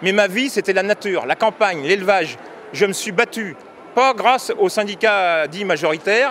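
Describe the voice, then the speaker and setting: This man has a high pitch with ordinary variation. He speaks at a moderate pace. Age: 60s. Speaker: farmer and union member. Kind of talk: street interview. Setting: agricultural fair. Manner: halting, with repetitions.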